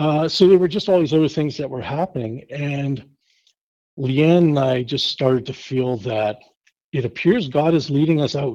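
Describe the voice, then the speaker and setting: With a strong Canadian accent, a man speaks at a moderate pace in a dark, mellow tone. His pitch is fairly high, with ordinary pitch variation. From Canada, Winnipeg, Manitoba. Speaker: pastor. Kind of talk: casual interview chat.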